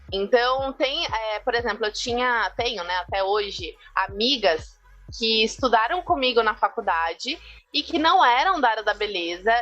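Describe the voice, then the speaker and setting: A woman talks fairly slowly in a fairly high voice with lively intonation. Music plays in the background. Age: 20s. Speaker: visagist and beauty professional. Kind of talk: podcast interview.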